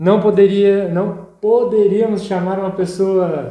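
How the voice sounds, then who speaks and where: A man at a very slow pace, with audible room echo. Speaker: podcast host. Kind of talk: podcast interview.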